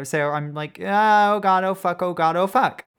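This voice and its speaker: An unremarkable speaking voice with ordinary pitch variation over a very clean recording and silent background. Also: woman. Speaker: podcast host. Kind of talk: casual chat.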